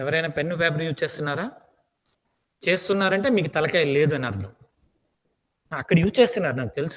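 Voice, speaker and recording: With a Telugu accent, the speaker uses lively intonation at a moderate pace, broken by long, frequent pauses. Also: man, fairly high pitch for a man. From India, Andhra Pradesh (Srikakulam). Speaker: aptitude trainer. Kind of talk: lecture. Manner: repetitive, emphatic.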